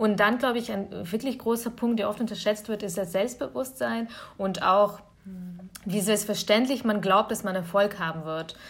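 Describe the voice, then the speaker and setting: A woman with an ordinary speaking voice, medium in pitch, at a moderate pace and with ordinary pitch variation. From Bavaria (Augsburg), Germany; born in Kyiv, Ukraine. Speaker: nonprofit network representative. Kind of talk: podcast interview.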